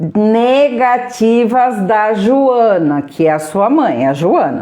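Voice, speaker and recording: A woman speaks with an animated tone and lively intonation. Her pitch is fairly high. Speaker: therapist running a live workshop. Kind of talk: live stream guided exercise. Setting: live stream.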